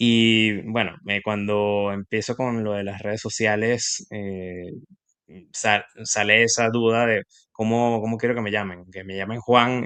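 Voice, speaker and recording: A man with a Venezuelan accent speaks in a bright, sharp tone at a fairly low pitch. His intonation is monotone and flat, and his pace is fairly slow. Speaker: industrial engineer and investing youtuber. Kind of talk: casual interview.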